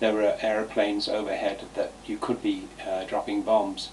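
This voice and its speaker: There is noticeable background noise throughout. Through it, a man's voice comes across. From eastern England, Cambridgeshire (Ely). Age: 70s. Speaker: vlogger telling life stories. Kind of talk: personal reminiscence monologue. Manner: halting, many fillers.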